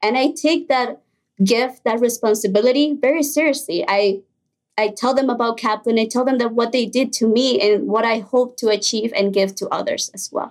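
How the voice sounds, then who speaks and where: A woman in a Spanish accent, fairly high in pitch, at a moderate pace with ordinary pitch variation. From Mexico, then Illinois from age 10. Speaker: college student. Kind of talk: interview.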